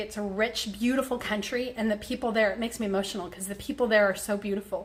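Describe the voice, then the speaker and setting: Over noticeable background noise, a woman speaks at a very fast pace. Her pitch is fairly high and her intonation fairly even. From Mexico, raised mostly in the US. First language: Spanish. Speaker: health coach / vlogger. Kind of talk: casual vlog talk to followers. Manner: casual, many fillers and restarts.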